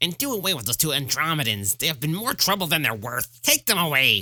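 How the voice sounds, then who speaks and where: This is a put-on character voice at a middle pitch. The delivery comes very fast. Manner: commanding.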